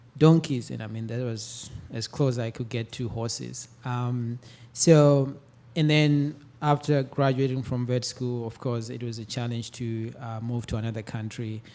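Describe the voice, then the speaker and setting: The speaker has an African accent and a dark, mellow tone. The pace is fairly slow, with fairly even intonation. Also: man, medium pitch for a man. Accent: non-US African. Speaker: veterinary professor. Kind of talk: panel discussion. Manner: halting, many fillers.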